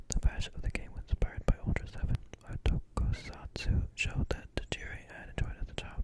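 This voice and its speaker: Someone whispers at a fairly quick pace. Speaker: ASMR content creator. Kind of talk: whispered reading aloud, close-up ASMR. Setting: close-mic recording with a desktop condenser microphone.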